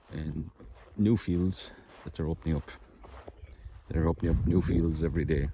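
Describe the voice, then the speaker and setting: A man speaks at a moderate pace in a dark, mellow tone with a very deep, low pitch. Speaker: metal detectorist vlogger. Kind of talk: casual vlog narration. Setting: outdoors.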